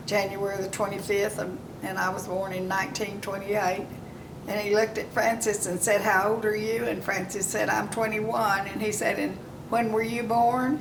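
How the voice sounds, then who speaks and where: A woman with an Oklahoma accent at a moderate pace, intonation fairly even, with audible room echo and noticeable background noise. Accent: Oklahoma Southern US. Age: 90s. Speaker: elderly woman telling her life story. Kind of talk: oral history storytelling. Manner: halting, with many fillers.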